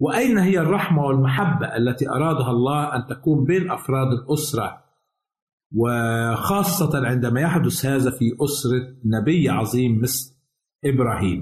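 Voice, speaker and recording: A man speaks at a fairly slow pace in a somewhat breathy voice with very even loudness. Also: medium pitch for a man, ordinary pitch variation. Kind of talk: scripted religious teaching. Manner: formal.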